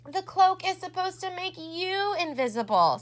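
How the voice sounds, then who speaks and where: Putting on a character voice, a woman speaks at a moderate pace in an extremely high, squeaky pitch. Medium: read story. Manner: boastful.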